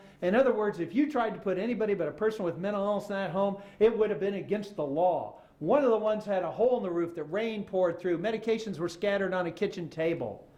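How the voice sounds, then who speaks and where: Over noticeable background noise and audible room echo, a man with an American accent talks at a very fast pace with hardly any pauses, using a high pitch, ordinary pitch variation and an animated tone. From Oklahoma. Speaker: author and former journalist. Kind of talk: public lecture. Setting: stage with audience.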